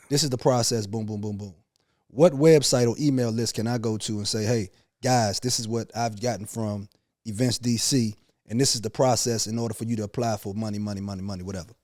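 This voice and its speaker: A man's medium-pitched voice with an American accent, a dark, mellow tone, fairly even intonation and a very fast pace. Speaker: podcast host. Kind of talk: heated debate.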